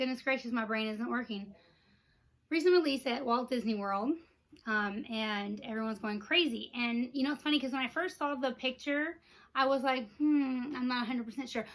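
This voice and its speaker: An animated voice with a Texan accent moves at a moderate pace. The recording is very clean, with a silent background. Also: woman, high pitch for a woman, ordinary pitch variation. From Texas. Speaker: Disney merchandise vlogger. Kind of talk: casual unboxing vlog.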